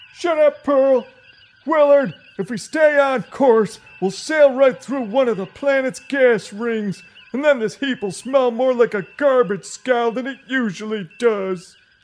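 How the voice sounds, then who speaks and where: Using a put-on character voice, a man talks at a fairly slow pace with an extremely high pitch. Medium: audio drama. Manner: irritable, crude, sarcastic.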